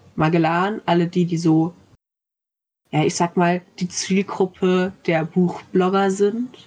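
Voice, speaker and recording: Her pace is very slow and her loudness very even. The woman has a fairly low pitch and monotone, flat intonation. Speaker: university student. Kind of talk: casual book discussion.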